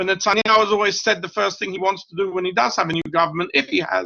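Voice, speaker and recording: The speaker talks at a fairly quick pace with a British accent. Pitch variation is ordinary. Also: man. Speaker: professor. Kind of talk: lecture.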